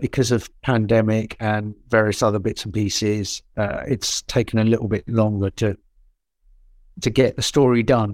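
Recorded very cleanly with a silent background and a dry, close sound with no echo, a man in a plain, everyday voice speaks fairly low at a moderate pace with fairly even intonation. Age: 50s. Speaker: actor. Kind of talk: casual chat.

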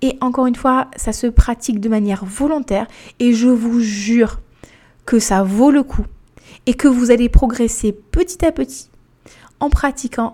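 A woman speaks at a moderate pace with a fairly high pitch, ordinary pitch variation, and a dark, mellow tone. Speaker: life and weight coach, podcast host. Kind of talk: solo podcast monologue. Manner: casual, many fillers.

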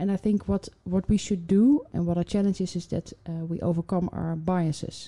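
A woman's plain, everyday voice, fairly low in pitch, with fairly even intonation. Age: 40s. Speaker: HR executive. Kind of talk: interview.

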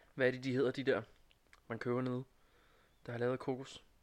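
A man at medium pitch, talking at a very fast pace. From Næstved area, Denmark. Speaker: student. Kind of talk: casual chat. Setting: studio.

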